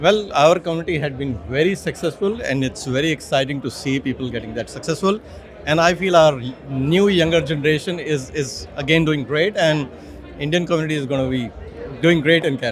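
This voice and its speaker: There is noticeable background noise behind a man speaking at a fairly quick pace. His pitch is fairly high, with ordinary variation. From India. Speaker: community business leader. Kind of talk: on-site interview.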